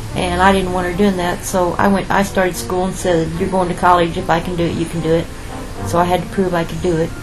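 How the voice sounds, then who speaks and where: A woman with an American accent talks at a very fast pace and fairly low pitch, in monotone, flat intonation. Music plays in the background, and room echo is audible. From Missouri. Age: 60s. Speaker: grandmother with a counseling degree. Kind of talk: family interview.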